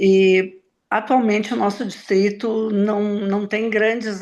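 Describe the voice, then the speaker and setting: The woman speaks at a very slow pace, and her intonation stays fairly even. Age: 70s. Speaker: Rotary district committee chair. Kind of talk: online meeting introduction.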